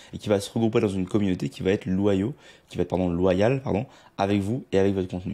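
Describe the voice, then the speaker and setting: Dark, mellow tone and ordinary pitch variation in a man's speech. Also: quiet background. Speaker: online marketing coach. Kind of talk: tutorial. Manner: fast.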